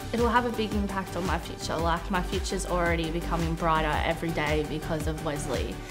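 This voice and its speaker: Very rapid delivery with hardly any pauses, clear music playing behind it. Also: woman. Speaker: former foster care client. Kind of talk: interview answer. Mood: sincere, grateful. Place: home room.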